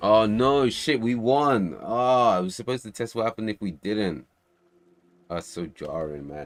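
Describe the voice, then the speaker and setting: A man's lively intonation comes through at a moderate pace. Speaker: game developer streamer. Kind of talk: casual livestream chat. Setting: livestream from home.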